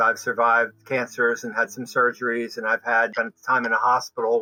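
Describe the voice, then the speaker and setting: Over noticeable background noise, a man speaks fairly quickly. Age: 70s. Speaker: migraine patient. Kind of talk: testimony.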